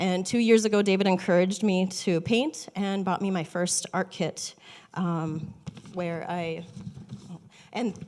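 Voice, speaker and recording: A woman with an Upper Midwest accent speaks with fairly even intonation. She leaves long, frequent pauses amid noticeable background noise. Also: medium pitch for a woman, fairly slow pace. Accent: Upper Midwest American. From North Dakota, small town. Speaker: watercolor artist. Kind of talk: personal introduction talk. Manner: shaky; hesitant, many ums.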